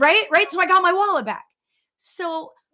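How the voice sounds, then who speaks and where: Her voice is raised and projected. The woman's tone comes across bright and sharp. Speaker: spiritual medium. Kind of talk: casual storytelling on live show. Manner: animated.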